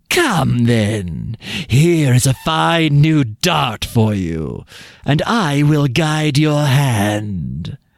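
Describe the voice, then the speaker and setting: This man uses a put-on character voice at a medium pitch. He talks at a very slow pace. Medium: read story. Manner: sly, low-voiced.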